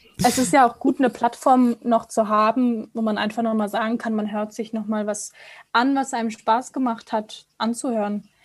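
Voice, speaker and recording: A normal speaking voice from a woman, fairly high in pitch, with fairly even intonation and a moderate pace. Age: 20s. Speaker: radio co-host. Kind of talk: casual chat. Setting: video call.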